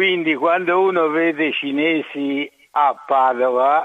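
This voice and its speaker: A man speaks with fairly even intonation. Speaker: caller. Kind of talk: casual chat. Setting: phone call.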